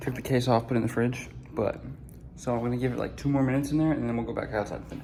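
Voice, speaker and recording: The speech moves at a very fast pace with fairly even intonation, set against audible room echo and noticeable background noise. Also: man, medium pitch for a man. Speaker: DIY video maker. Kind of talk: casual vlog tutorial. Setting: outdoors, hot day. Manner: casual, filler-heavy.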